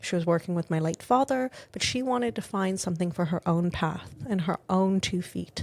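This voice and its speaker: A woman's somewhat breathy voice moves fairly quickly, her intonation lively. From South Africa. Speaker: skincare company executive. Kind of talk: interview conversation.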